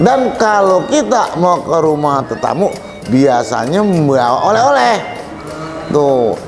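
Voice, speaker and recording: A man's fairly high voice, fairly slow, with very wide pitch swings, and music in the background. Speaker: Betawi pantun performer. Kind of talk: interview answer.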